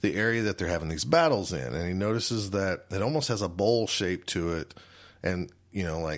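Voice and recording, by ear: With ordinary pitch variation, this clip features reading aloud in a natural voice.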